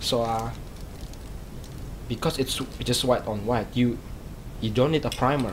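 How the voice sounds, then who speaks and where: A man speaks with a non-native accent and ordinary pitch variation. There is audible room echo and noticeable background noise. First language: not English. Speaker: hobbyist vlogger. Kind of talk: casual tutorial vlog. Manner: halting, many fillers and repeats.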